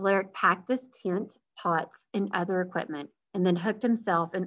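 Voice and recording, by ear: The speaker is reading aloud in a natural voice with ordinary pitch variation against a quiet background.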